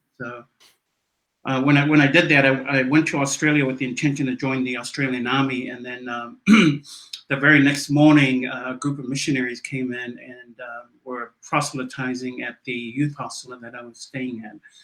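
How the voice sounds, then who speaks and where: A man's monotone, flat delivery with big swings in loudness. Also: medium pitch for a man, moderate pace. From New Zealand, South Auckland. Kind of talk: casual interview.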